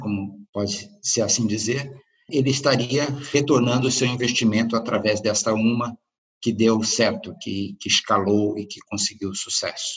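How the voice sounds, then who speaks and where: A man with a Brazilian accent at a fairly slow pace. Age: 50s. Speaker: startup consultant and author. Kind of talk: interview.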